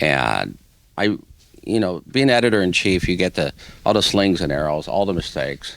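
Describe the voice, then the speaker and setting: A man with a very deep, low voice and vocal fry speaks at a moderate pace. His intonation is lively. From Hawaii. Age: 60s. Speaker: newspaper editor. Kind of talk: interview.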